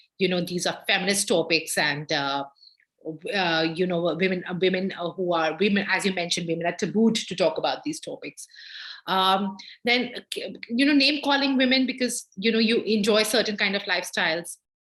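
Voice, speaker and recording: A woman with an Indian accent speaks at a fairly quick pace and a medium pitch. Her intonation is lively against a quiet background. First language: not English (Indian language). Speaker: gender justice lawyer. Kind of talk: guest lecture Q&A. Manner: halting, many fillers.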